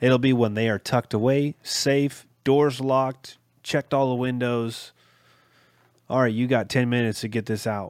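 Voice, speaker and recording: A man in an ordinary speaking voice at a medium pitch and a moderate pace, with fairly even intonation, a dry, close sound with no echo and a very clean recording with a silent background. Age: 30s. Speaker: podcast host. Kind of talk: casual chat.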